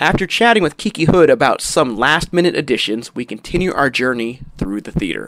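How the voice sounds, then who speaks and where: The man's voice is fairly high in pitch and carries vocal fry. His pitch swings very widely. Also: fairly quick pace, hardly any pauses. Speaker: podcast host and magician. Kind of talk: casual interview and tour narration. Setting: walking around a venue, recorded on location.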